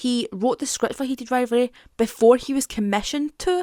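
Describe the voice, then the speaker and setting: A woman with a Scottish accent, dry and close with no echo, in a very clean recording against a silent background. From Scotland. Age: 20s. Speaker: YouTuber. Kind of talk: casual talk to camera, TV show commentary.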